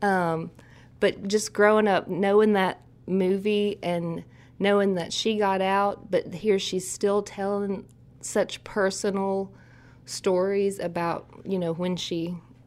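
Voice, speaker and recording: In an Appalachian accent, a woman speaks very slowly at a medium pitch with monotone, flat intonation, on a very clean recording with a silent background. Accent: Appalachian Southern US. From Eastern Kentucky, US. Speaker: country singer-songwriter. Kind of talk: interview.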